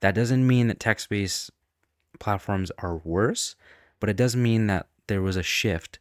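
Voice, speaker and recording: On a very clean recording with a silent background and a dry, close sound with no echo, a man speaks at a fairly slow pace with ordinary pitch variation. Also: fairly low pitch for a man. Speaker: YouTuber. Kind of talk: unscripted video monologue. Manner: unscripted, off the top of head; shaky, trembling voice.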